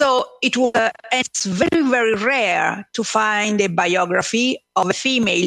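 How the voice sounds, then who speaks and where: A woman speaks in an Italian accent with ordinary pitch variation. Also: dry, close sound with no echo. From Italy, Numana (Marche). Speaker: author. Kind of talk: radio interview. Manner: halting, many fillers.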